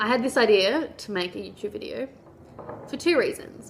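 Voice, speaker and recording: Here a woman talks at a moderate pace. She has an Australian accent. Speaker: vlogger. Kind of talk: casual vlog monologue. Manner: chatty, informal.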